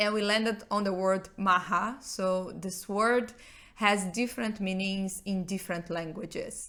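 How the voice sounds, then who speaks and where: Speaking at a fairly slow pace with a Portuguese accent, a woman keeps her medium-pitched voice in fairly even intonation. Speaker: rock band member. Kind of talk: podcast interview.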